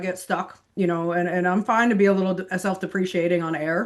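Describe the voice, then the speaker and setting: Her voice has a medium pitch. The woman talks at a very fast pace. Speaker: investment executive and TV market commentator. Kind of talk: podcast interview.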